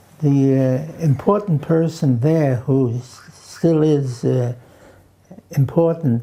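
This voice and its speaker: A man with a Hungarian accent speaks at a fairly high pitch with ordinary pitch variation, a dark, mellow tone and a somewhat breathy quality. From New York (Queens), born in Romania. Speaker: elderly interviewee recalling his life. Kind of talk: oral history interview. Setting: at home. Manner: halting, many fillers.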